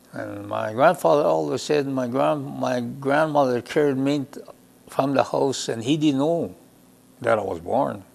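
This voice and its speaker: A medium-pitched man with a Lakota accent and lively intonation at a fairly slow pace, over noticeable background noise. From Lakota First Nation, Saskatchewan, Canada. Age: 70s. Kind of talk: personal storytelling interview. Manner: halting.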